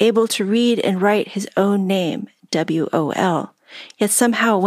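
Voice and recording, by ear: The voice reads aloud naturally, its pitch moving in an ordinary way. Nothing else can be heard behind it.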